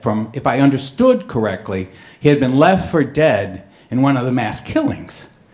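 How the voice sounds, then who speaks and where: Using a normal speaking voice, a man speaks at medium pitch and a moderate pace. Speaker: storyteller. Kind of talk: live storytelling performance.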